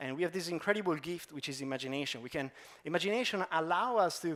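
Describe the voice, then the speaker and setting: Heard on a very clean recording with a silent background, a man speaks at a high pitch with lively intonation. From Italy, Pistoia. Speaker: designer. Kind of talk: conference talk. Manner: fast.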